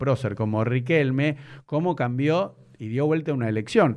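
Against a quiet background, a man with a plain, everyday voice speaks at a medium pitch and a moderate pace, with ordinary pitch variation. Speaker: podcast host. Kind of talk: casual interview.

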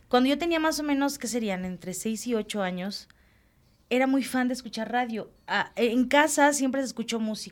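A woman's high-pitched voice at a moderate pace, with ordinary pitch variation, on a very clean recording with a silent background. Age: 40s. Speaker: children's radio presenter. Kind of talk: casual interview. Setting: studio.

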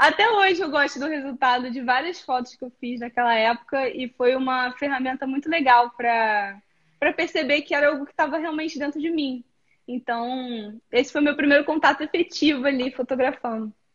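A woman's high voice at a moderate pace, with ordinary pitch variation and hardly any pauses. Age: 30s. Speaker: photographer. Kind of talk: live-stream interview. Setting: live stream.

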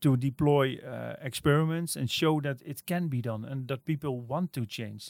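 At a moderate pace and with hardly any pauses, a man with a Dutch accent speaks at a fairly high pitch with ordinary pitch variation, in a dry, close sound with no echo. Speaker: innovation agency director. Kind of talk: interview. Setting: office. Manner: halting, many fillers and repeats.

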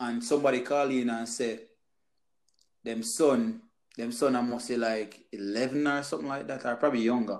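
A man with an ordinary speaking voice, medium pitch and ordinary pitch variation. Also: moderate pace. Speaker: podcast host. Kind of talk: casual chat.

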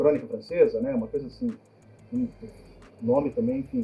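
A man talks at a fairly quick pace in a high pitch for a man. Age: 40s. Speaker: filmmaker and professor. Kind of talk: casual chat.

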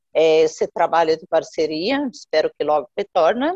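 A woman's pitch swings very widely in a dry, close sound with no echo. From Jordan, Palestinian family. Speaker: NGO founder. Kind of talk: interview. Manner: halting, many fillers.

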